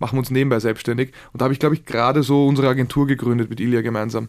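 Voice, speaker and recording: This man's voice sits at a medium pitch. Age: 20s. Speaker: entrepreneur. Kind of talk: interview.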